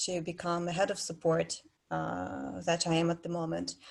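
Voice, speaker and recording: A woman speaks in a Russian accent. Her pitch is fairly low, with ordinary variation. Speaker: head of player support. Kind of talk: panel discussion. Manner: halting.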